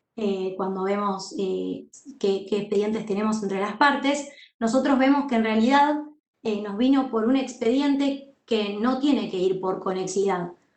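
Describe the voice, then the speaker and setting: A woman's fairly high-pitched voice with ordinary pitch variation and audible room echo. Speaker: university law teacher and court clerk. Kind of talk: lecture.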